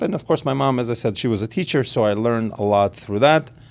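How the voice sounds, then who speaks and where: This man speaks with an Israeli accent. His pitch is at a medium level. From Israel, then Los Angeles from age 13. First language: Hebrew. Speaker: realtor and pitmaster. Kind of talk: casual interview.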